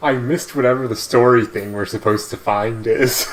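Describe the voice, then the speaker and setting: Noticeable background noise sits behind a man's voice. He talks at a moderate pace and medium pitch. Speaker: video game streamer. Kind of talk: casual gameplay commentary. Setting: live stream. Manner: soft-spoken; halting.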